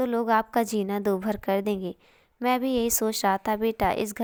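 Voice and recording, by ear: The intonation holds fairly even. It is someone reading aloud in a natural voice.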